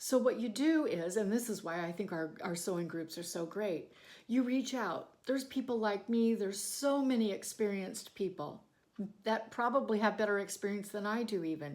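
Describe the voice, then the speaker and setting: A normal speaking voice from a woman, medium in pitch, with lively intonation at a moderate pace, on a very clean recording with a silent background. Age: 60s. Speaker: sewing and bagmaking YouTuber. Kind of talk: motivational talk to camera. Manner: conversational with fillers.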